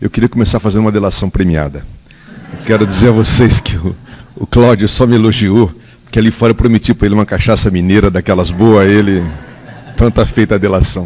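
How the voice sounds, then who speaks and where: A man speaks at a fairly quick pace with a fairly low pitch. His intonation stays fairly even, and there is noticeable background noise. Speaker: political staffer at an audience debate. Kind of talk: public debate comment.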